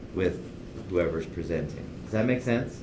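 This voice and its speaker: A man speaks in a somewhat breathy voice. The room echo is audible. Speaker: university instructor. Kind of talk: lecture.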